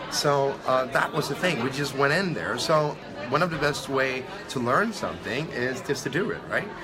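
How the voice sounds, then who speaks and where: Music plays in the background as a man with a fairly high pitch speaks, with audible room echo. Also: ordinary pitch variation, moderate pace. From Sweden. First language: Swedish. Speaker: online entrepreneur. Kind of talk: interview. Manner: halting.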